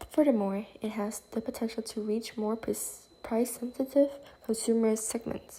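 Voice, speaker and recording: A woman with a fairly high pitch speaks at a moderate pace in a dark, mellow, somewhat breathy tone with monotone, flat intonation. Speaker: student. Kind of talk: class presentation. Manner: halting; formal.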